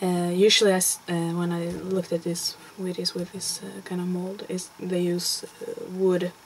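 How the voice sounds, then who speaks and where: A woman talks in a fairly low voice at a moderate pace with hardly any pauses. Her intonation is monotone and flat, and noticeable background noise is present. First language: Swedish. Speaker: crafter. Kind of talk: tutorial. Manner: halting. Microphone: poor sound.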